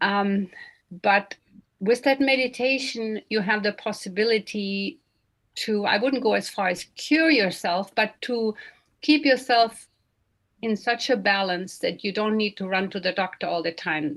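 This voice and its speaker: Her pitch fairly high and her pitch variation ordinary, a woman delivers her words at a fairly slow pace in an ordinary speaking voice. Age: 60s. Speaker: meditation session moderator. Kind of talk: online meditation session discussion.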